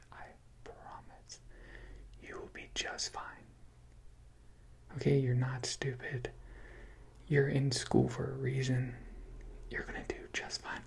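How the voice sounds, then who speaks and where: A man whispers in a calm tone, with big swings in loudness. He leaves long, frequent pauses. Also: fairly slow pace. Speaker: ASMR creator. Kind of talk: comforting ASMR roleplay, personal attention advice. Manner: soft-spoken, reassuring, calm.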